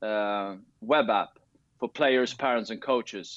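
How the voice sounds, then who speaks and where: A man speaks with a Swedish accent. His pace is moderate. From Sweden. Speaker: tennis coach and tech founder. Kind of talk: interview. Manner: halting, many fillers and restarts.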